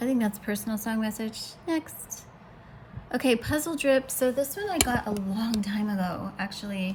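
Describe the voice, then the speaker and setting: A woman with a fairly high pitch speaks with ordinary pitch variation over noticeable background noise. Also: moderate pace. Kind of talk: casual monologue to camera. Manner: loud.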